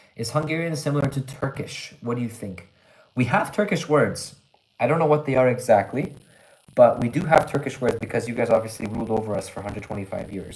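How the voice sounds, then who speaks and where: A man with a Canadian accent rushes along at a very fast pace in a somewhat breathy, medium-pitched voice, with lively intonation and big swings in loudness. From Canada. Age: 20s. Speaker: English teacher, livestreamer. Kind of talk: live stream chat reading comments. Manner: casual, conversational with fillers.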